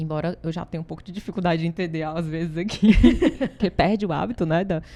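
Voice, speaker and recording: Very fast and in a Ceará accent, a woman talks with a fairly low pitch, a dark, mellow tone, and fairly even intonation. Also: big swings in loudness. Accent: Ceará Brazilian accent, kept. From Brazil, Ceará. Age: 40s. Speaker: consultancy founder. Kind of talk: interview.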